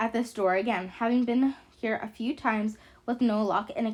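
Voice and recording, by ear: A natural voice, reading aloud.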